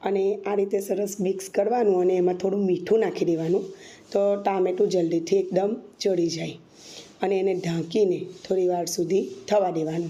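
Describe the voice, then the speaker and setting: In a room with audible echo, a woman with a medium pitch and a dark, mellow tone talks in a monotone, flat intonation. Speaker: cooking channel host. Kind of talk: cooking tutorial.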